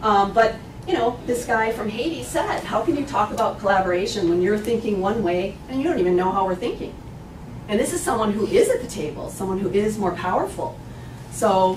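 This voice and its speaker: Over noticeable background noise and audible room echo, a woman with a medium-pitched voice talks at a fairly quick pace with ordinary pitch variation. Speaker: bioethicist and medical anthropologist. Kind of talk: lecture. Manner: fast.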